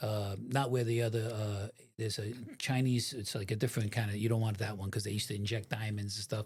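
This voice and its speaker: Very fast speech comes from a man with a fairly low, somewhat breathy voice. His intonation stays fairly even. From New York (New Rochelle, Westchester). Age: 60s. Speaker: former mafia member and FBI informant. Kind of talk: interview. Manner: casual, halting with fillers.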